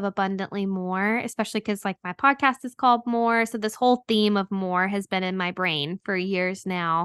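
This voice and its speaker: A woman's normal speaking voice with an American accent, medium pitch, moderate pace, ordinary pitch variation and hardly any pauses, in a dry, close sound with no echo and a quiet background. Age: 30s. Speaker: podcast host and anti-trafficking worker. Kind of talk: interview testimony.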